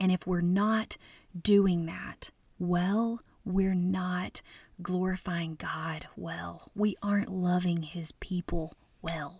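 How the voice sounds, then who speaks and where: A woman with an American accent, fairly low-pitched and somewhat breathy, at a very slow pace. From US South, Arkansas. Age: 30s. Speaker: food blogger and speaker. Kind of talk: conference talk. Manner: animated, passionate.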